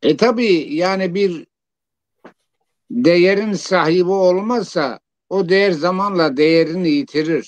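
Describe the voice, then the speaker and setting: A man speaks at a very slow pace in a high pitch with ordinary pitch variation. His loudness stays very even. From southeastern Turkey, Siverek. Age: 70s. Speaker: poet and engineer. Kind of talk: interview.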